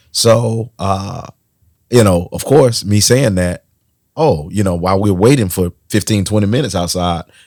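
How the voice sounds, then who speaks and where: Over a silent background in a very clean recording, a man speaks in an animated tone at a moderate pace. His fairly low pitch shows ordinary variation, and the sound is dry and close with no echo. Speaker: podcast co-host. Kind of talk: casual chat.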